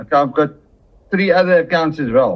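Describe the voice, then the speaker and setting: A man talks with ordinary pitch variation. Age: 60s. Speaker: retired forex trader. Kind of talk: testimonial interview answer.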